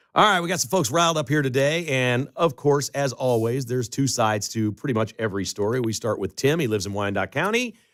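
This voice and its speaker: Talking at a very fast pace with hardly any pauses, a man with an American accent uses lively intonation at a medium pitch. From Chicago. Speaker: talk radio host. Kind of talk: talk radio monologue. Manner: animated.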